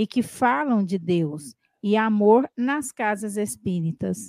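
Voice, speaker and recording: A woman with a fairly high pitch and very wide pitch swings at a very slow pace, in a dry, close sound with no echo and a very clean recording with a silent background. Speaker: co-host reading listener questions. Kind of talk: live Q&A show.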